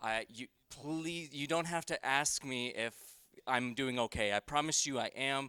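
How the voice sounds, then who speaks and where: A man's loud, bright, sharp voice sits fairly high in pitch, with a dry, close sound and no echo. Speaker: conference presenter, employment consultant. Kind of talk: conference presentation. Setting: conference room with audience. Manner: casual with many fillers.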